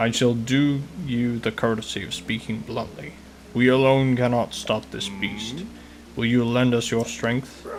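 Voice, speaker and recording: A man puts on a character voice at a medium pitch and moderate pace, with clear background noise behind him. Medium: solo performance. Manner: formal, stately, booming warmth.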